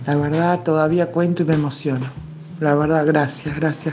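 Noticeable noise and audible room echo fill the recording. Her voice sits very deep and low. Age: 50s. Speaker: feminist march participant. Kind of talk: voice message testimony. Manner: halting.

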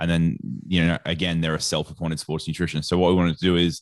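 With an Australian accent, a man speaks at a very deep, low pitch over a quiet background. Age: 30s. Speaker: sports nutrition association head. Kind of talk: casual interview chat.

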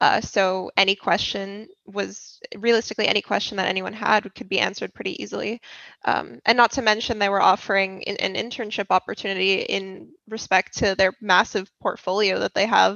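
A woman with a medium pitch speaks at a fairly quick pace. Her intonation stays fairly even, with vocal fry. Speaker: university student. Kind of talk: podcast interview.

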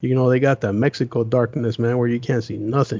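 A man speaks with an American accent at medium pitch. His intonation is monotone and flat, at a moderate pace. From US West (Las Vegas, Los Angeles). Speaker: paranormal YouTuber. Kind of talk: casual chat.

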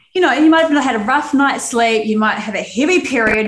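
With a New Zealand accent, a woman talks at a very fast pace with ordinary pitch variation, with noticeable background noise and audible room echo. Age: 30s. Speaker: Pilates instructor, podcast co-host. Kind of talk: casual chat.

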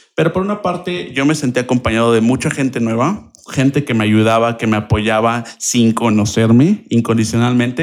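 This man talks at a fairly quick pace, using a medium pitch with ordinary pitch variation. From Mexico, Querétaro. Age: 20s. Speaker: language teacher and translator. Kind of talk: interview.

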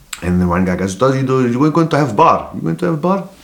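Noticeable background noise runs under the recording. A man speaks with lively intonation. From South Africa, Cape Town (District Six area). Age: 40s. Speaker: comedian. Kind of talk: casual chat.

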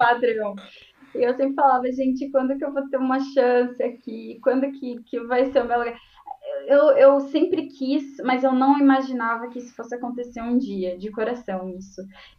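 Her pitch high, a woman speaks at a moderate pace with fairly even intonation and big swings in loudness. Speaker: database specialist in IT. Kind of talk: interview on live stream.

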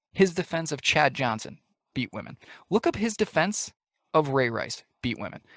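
In an American accent, a man speaks at a moderate pace and a fairly high pitch with very wide pitch swings, the sound dry and close with no echo. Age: 20s. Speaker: podcast co-host. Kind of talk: casual chat.

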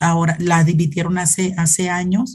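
Her voice is dark, mellow, and somewhat breathy. The woman speaks at a medium pitch and a fairly slow pace. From Mexico, Zacatecas. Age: 40s. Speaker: Franciscan nun. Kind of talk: interview testimony. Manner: halting, repeats words.

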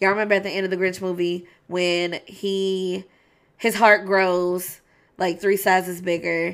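At a medium pitch, a woman speaks with monotone, flat intonation. Her pace is fairly slow. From Kentucky. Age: 20s. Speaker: podcast host. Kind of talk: casual monologue. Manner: relaxed, not over-enunciated.

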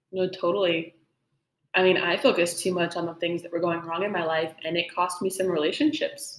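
At a fairly quick pace, a woman speaks in an ordinary speaking voice with fairly low pitch and ordinary pitch variation. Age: young. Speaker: podcast host, music student. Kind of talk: casual chat.

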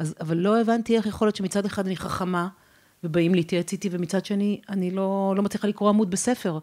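A woman's medium-pitched voice, dark and mellow, at a fairly quick pace with fairly even intonation. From Israel, Ramat HaSharon. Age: 50s. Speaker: courage coach and speaker. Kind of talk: podcast interview.

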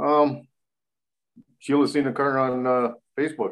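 Medium-pitched male speech, flat and monotone throughout. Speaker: race car driver. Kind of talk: casual chat.

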